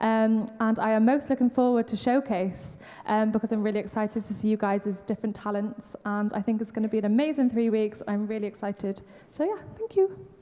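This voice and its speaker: Against noticeable background noise, a woman with a Welsh accent speaks fairly quickly in a fairly high voice with fairly even intonation. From Wales. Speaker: event coordinator. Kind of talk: welcome speech.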